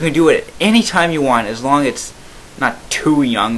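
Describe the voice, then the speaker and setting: Noticeable background noise runs under a man speaking with lively intonation. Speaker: YouTuber reacting to comments. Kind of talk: commentary reading comments. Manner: halting.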